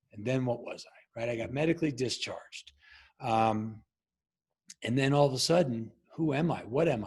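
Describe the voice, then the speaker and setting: A man with an American accent sounds somewhat breathy. His loudness swings widely, with long, frequent pauses. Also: medium pitch for a man, ordinary pitch variation, moderate pace. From Long Island, New York. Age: 50s. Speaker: former Navy SEAL and leadership coach. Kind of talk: podcast interview. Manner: halting.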